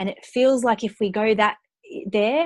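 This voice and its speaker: At a fairly slow pace, a woman with an Australian accent speaks at medium pitch with ordinary pitch variation, in a dry, close sound with no echo. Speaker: entrepreneur and money mindset coach. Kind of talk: interview.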